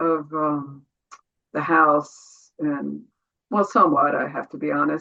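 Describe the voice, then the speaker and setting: A woman with a bright, sharp tone at a fairly slow pace. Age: 70s. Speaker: meditation student. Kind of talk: Q&A question.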